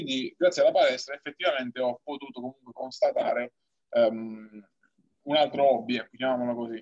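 The sound is dry and close, with no echo. A man speaks at a fairly quick pace with big swings in loudness. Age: 20s. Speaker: Paralympic powerlifter. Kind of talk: interview. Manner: halting.

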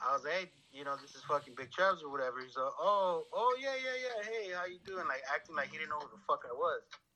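Over noticeable background noise, a man races along very fast with hardly any pauses and big swings in loudness. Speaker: caller. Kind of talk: casual chat. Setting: phone call.

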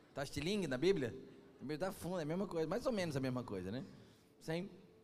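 Amid audible room echo, a man with a fairly high pitch talks at a fairly quick pace with lively intonation. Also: long, frequent pauses. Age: 40s. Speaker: pastor. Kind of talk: sermon. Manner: animated.

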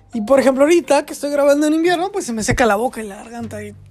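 A woman talks at a very fast pace with music in the background. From Mexico, Querétaro. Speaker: podcaster. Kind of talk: solo monologue podcast. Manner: halting, many fillers and repetitions.

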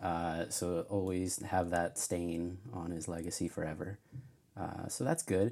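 This soft-spoken man has a very deep, low pitch and a dark, mellow tone. He talks at a fairly slow pace with fairly even intonation. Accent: American. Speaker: friend of the host. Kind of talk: casual chat.

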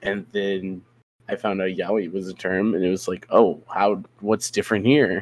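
With a quiet background, an unremarkable speaking voice proceeds at a moderate pace in fairly even intonation. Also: man, fairly low pitch for a man. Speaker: podcast co-host. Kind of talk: casual podcast chat.

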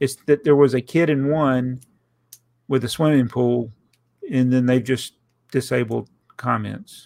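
With a Southern US accent, a man speaks fairly slowly at medium pitch, in fairly even intonation, with long, frequent pauses. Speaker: podcast host and YouTuber. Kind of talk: casual chat.

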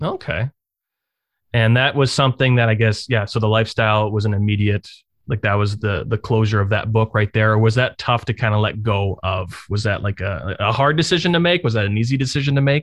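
A man's plain, everyday voice, medium in pitch with ordinary pitch variation and very even loudness, at a fairly quick pace, dry and close with no echo over a quiet background. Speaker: podcast host. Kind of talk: casual interview.

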